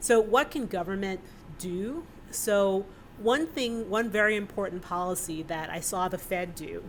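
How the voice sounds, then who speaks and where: An ordinary speaking voice from a woman with an American accent, medium pitch, ordinary pitch variation and a fairly slow pace. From New York City, Brooklyn. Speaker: economist. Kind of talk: panel discussion answer.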